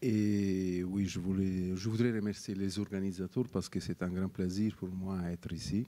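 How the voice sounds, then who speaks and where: A man's very deep, low voice with a Neapolitan accent, dark and mellow in tone, at a very slow pace with fairly even intonation. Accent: Neapolitan Italian accent in French. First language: Italian (speaking French). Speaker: wine scientist, professor of oenology. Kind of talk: interview. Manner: halting, many hesitations.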